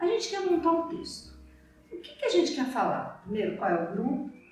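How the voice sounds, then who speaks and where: With music in the background and audible room echo, a woman speaks in very wide pitch swings. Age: 60s. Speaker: theater producer. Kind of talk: tutorial. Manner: casual.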